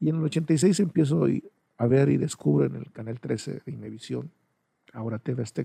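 A man's medium-pitched voice with a dark, mellow tone, vocal fry, very wide pitch swings and a moderate pace. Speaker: podcaster, videographer. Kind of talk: personal monologue. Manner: hesitant.

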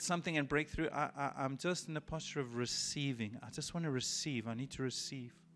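A man talks at a fairly quick pace in a plain, everyday voice with ordinary pitch variation. The recording is very clean with a silent background. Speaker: pastor. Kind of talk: sermon with guided prayer. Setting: church. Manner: relaxed, conversational, gently reassuring.

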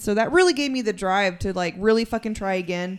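Fairly quick delivery in a West Texas accent, with ordinary pitch variation. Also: woman. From Texas (San Angelo). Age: 30s. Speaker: recovering addict. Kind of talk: casual chat.

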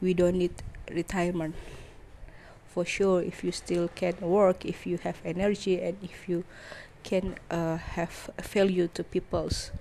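Fairly low-pitched and dark, mellow woman's voice with an Indonesian accent, fairly slow and monotone, with flat intonation. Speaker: podcaster. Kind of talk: personal monologue. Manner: halting.

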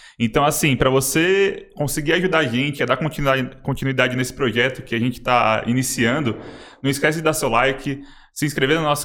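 A man's bright, sharp tone at medium pitch, fairly quick pace and fairly even intonation. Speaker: podcast host. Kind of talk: casual interview chat.

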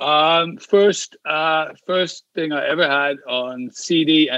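Using fairly even intonation, a man speaks with an English accent. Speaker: comedian. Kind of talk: casual chat. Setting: video call.

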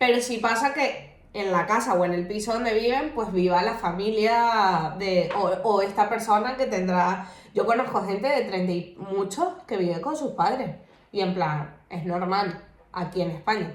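A woman's medium-pitched voice at a fairly slow pace with ordinary pitch variation, amid audible room echo and noticeable background noise. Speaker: podcast co-host. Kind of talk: casual chat.

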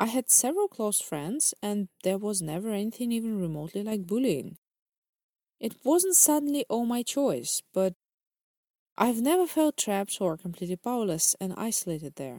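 A woman with a Russian accent speaks at a moderate pace, her fairly high pitch swinging very widely. The sound is dry and close, with no echo. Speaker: podcast host, English tutor. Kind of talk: scripted narration.

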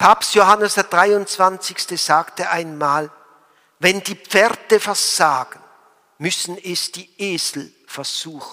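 A man uses a raised, projected voice with a high pitch and a bright, sharp tone. His pace is very slow. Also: ordinary pitch variation. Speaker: priest. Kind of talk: sermon. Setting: church. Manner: formal; earnest.

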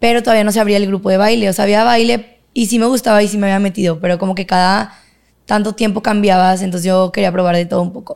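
Very fast and with fairly even intonation, a woman speaks at medium pitch. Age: 20s. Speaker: university student and cycling coach. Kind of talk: casual interview.

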